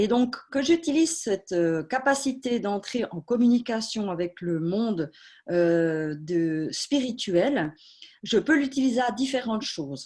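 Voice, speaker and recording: A woman's fairly high voice with very wide pitch swings, at a very slow pace. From Switzerland, Swiss Jura. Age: 40s. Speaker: medium. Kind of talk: talk at an online conference. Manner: hesitant, many fillers.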